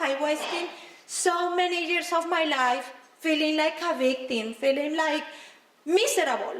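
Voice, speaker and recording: A woman's extremely high-pitched voice with a Spanish accent, fairly slow and with ordinary pitch variation, amid audible room echo and noticeable background noise. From Colombia. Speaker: motivational speaker. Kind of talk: motivational speech.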